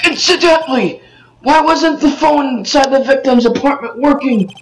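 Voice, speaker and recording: At a moderate pace, the speaker uses a put-on character voice with a high pitch. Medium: fan dub.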